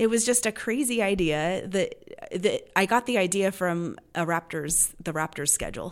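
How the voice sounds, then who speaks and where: A woman with a normal speaking voice talks at a moderate pace and medium pitch, with ordinary pitch variation and hardly any pauses. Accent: American. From Los Angeles area, California. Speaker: local events publisher. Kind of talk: casual interview. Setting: meeting room.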